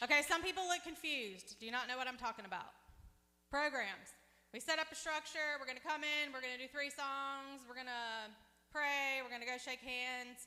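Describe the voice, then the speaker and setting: A woman raises and projects her voice at a high pitch. Her tone is bright and sharp. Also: ordinary pitch variation, moderate pace. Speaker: pastor. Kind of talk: sermon. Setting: church service with congregation. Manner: loud; conversational, interactive with audience.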